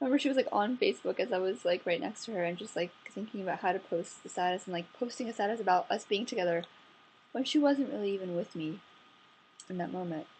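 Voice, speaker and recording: A woman talks quietly at a medium pitch. Her pace is very fast. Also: ordinary pitch variation. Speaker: vlogger. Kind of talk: casual vlog monologue. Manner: speaking quietly; relaxed, chill.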